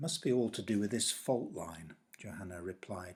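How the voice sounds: In a natural reading voice, the pitch varies in an ordinary way.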